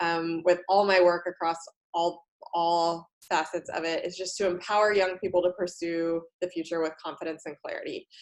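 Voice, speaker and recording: A woman talks with an American accent. Her pitch is fairly low, and her intonation is monotone and flat. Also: moderate pace. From United States. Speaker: career coach and college instructor. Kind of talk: talk to university students.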